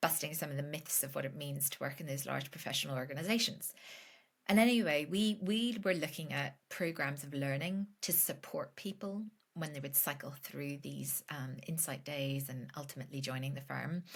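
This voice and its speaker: In a Northern Irish accent, a woman with a very deep, low voice talks at a moderate pace with ordinary pitch variation. She sounds somewhat breathy on a very clean recording with a silent background. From Northern Ireland. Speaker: business founder, financial educator. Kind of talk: podcast interview. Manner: casual, many fillers.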